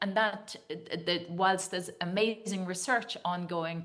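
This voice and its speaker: Medium-pitched woman with an Irish accent, fairly even intonation and a moderate pace, with audible room echo. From Ireland. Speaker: dietitian and nutrition scientist. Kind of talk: conference talk. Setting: video call to a conference audience. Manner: hesitant, with many fillers.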